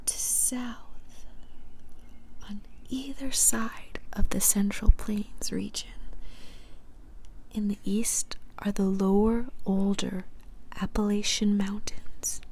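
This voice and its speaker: A woman whispers, soft-spoken. She goes very slowly, with long, frequent pauses. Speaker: ASMR creator. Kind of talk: ASMR book reading. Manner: soft-spoken, whispered.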